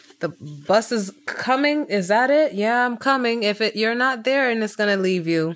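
A woman with an American accent and a plain, everyday voice, fairly high in pitch, at a moderate pace with ordinary pitch variation. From Tanzania, with childhood in the US. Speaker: podcast co-host. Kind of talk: casual chat.

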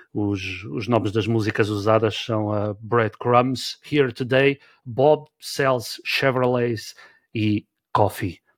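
A man talks at a very slow pace with a medium pitch. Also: ordinary pitch variation. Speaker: podcast host. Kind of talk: casual chat.

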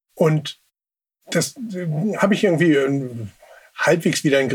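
This man's voice is somewhat breathy and fairly high in pitch, with ordinary pitch variation and a moderate pace. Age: 40s. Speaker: sibling advocate. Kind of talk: interview. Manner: halting.

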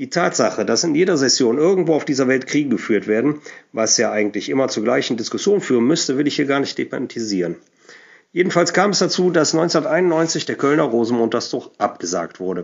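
A man speaks at a fairly quick pace in a fairly high pitch, his voice swinging very widely in pitch and showing vocal fry. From Germany, Cologne. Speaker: Cologne dialect music enthusiast and DJ. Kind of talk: prepared talk about a song.

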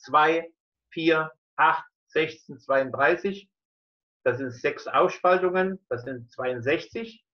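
A man's fairly high-pitched voice at a very slow pace, with ordinary pitch variation and long, frequent pauses. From eastern Germany (Dresden). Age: 70s. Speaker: scientist and physician. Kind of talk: interview. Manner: halting.

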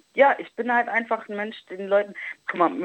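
A woman's voice, dry and close with no echo. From Germany, Italian roots. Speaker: travel influencer. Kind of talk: casual chat. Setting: phone call.

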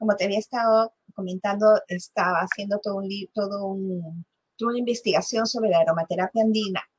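Dry and close with no echo, a woman's somewhat breathy voice runs at a fairly quick pace, fairly high in pitch with ordinary pitch variation. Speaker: podcast host. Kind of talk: interview.

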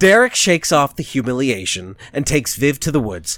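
Here a man talks at a moderate pace. His medium pitch swings very widely. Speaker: podcast host. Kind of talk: casual chat.

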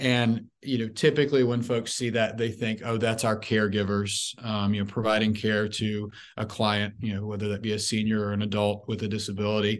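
In an American accent, a man with a fairly low pitch talks at a fairly quick pace in a flat monotone, with hardly any pauses. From US South, Memphis, Tennessee. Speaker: marketing executive. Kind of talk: interview.

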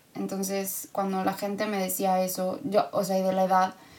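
A woman at a moderate pace and medium pitch, with an ordinary speaking voice. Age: 30s. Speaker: podcast guest, host's sister. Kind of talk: casual chat.

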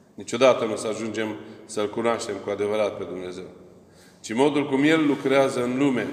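A man talks at a fairly quick pace, with audible room echo. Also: medium pitch for a man, ordinary pitch variation. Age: old. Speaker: Orthodox priest. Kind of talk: sermon.

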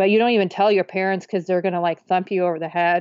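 A woman's fairly low, monotone voice with flat intonation and an American accent. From Kansas, Wichita. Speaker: author. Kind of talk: interview, personal testimony.

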